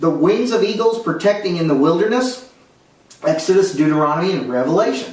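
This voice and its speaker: A man speaks at a fairly quick pace with very wide pitch swings. Noticeable background noise and audible room echo fill the recording. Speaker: Bible teacher. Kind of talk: Bible study lecture.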